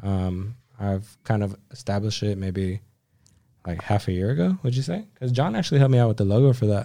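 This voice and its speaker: In a Californian accent, the speech runs at a fairly quick pace with ordinary pitch variation in a very clean recording over a silent background. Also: man, fairly low pitch for a man. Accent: California. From Southern California (Whittier). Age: 20s. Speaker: automotive photographer. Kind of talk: casual chat.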